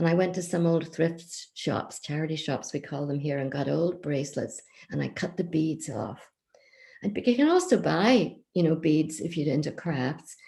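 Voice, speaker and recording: Somewhat breathy, a woman with a Northern Irish accent talks at a moderate pace and a fairly low pitch. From County Down, Northern Ireland. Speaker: children's author and traditional storyteller. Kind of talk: craft explanation to children.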